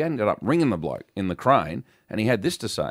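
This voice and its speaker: A man with an Australian accent at a very fast pace, with lively intonation, on a very clean recording with a silent background. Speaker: radio host. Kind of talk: casual banter on a radio show. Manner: jokey.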